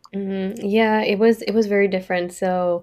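A woman speaks at medium pitch with monotone, flat intonation. The recording is very clean, with a silent background. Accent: French. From France. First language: French. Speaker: forensic artist. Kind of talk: casual interview.

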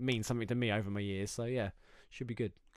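A man with an English accent, very fast pace and fairly even intonation. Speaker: podcast host. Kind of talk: casual chat. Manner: fast talker.

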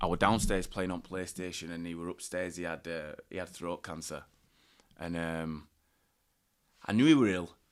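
A man talks in a very deep, low pitch with a Yorkshire accent. He leaves long, frequent pauses. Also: fairly even intonation, moderate pace, very clean recording, silent background. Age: 20s. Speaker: professional rugby league player. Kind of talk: interview, personal story.

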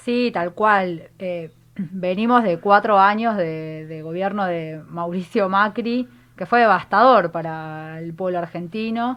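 At a very slow pace, the voice moves through big swings in loudness over a quiet background. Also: woman, medium pitch for a woman, ordinary pitch variation. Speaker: feminist activist and candidate. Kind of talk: political interview.

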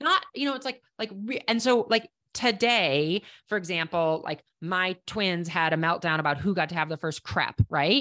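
This woman talks with a Minnesota accent and lively intonation. The background is quiet. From Minnesota, Minneapolis. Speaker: professional climber and conservation entrepreneur. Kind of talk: casual interview.

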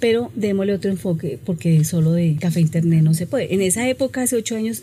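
Over noticeable background noise, a woman speaks with a fairly low pitch and lively intonation. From Bogotá, Colombia. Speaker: shopkeeper. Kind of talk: interview.

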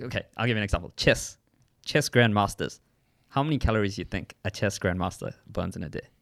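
A man speaks with a normal speaking voice, fairly low in pitch, at a fairly quick pace with ordinary pitch variation. The recording is very clean with a silent background. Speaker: podcast co-host, fitness and nutrition. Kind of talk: casual chat.

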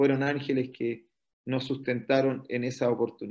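A man speaks with a Chilean accent. His delivery is fairly slow, with monotone, flat intonation. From northern Chile, Antofagasta. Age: 50s. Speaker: pastor. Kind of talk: interview testimony.

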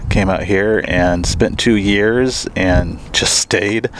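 A speaker with an American accent talks at a very slow pace. The intonation stays fairly even over noticeable background noise. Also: man. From US Midwest, Missouri Ozarks. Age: 40s. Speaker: wildlife advocacy coordinator and hunter. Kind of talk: casual interview chat.

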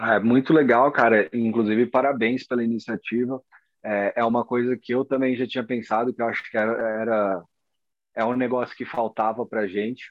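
A man talks at a moderate pace and a medium pitch. His intonation is monotone and flat. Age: 30s. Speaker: fingerboarder and graphic designer. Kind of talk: casual interview chat.

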